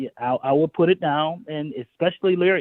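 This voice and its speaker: A man talks at a fairly quick pace in an ordinary speaking voice. His pitch variation is ordinary. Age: 60s. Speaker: songwriter. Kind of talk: interview.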